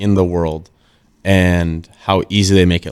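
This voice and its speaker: A man with an Upper Midwest accent talks in a very deep, low pitch with monotone, flat intonation. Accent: Upper Midwest American. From Minnesota (Northfield). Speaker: professional hockey player. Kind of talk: casual chat.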